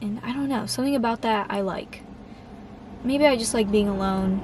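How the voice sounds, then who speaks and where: A woman's fairly high voice at a moderate pace with ordinary pitch variation, amid noticeable background noise. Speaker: vlogger. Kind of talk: casual vlog monologue. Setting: outdoors, public place. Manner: halting, filler-heavy.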